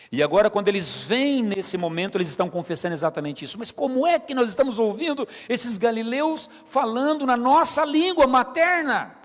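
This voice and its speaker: A man speaks at a fairly quick pace with hardly any pauses, his extremely high pitch making very wide swings against noticeable background noise. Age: 50s. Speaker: pastor. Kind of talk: sermon.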